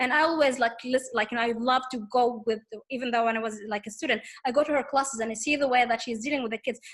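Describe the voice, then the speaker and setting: A woman's high voice in an Arabic accent, very fast with hardly any pauses and fairly even intonation. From Tunisia. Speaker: teaching assistant. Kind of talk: casual interview conversation. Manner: halting, many repetitions and fillers.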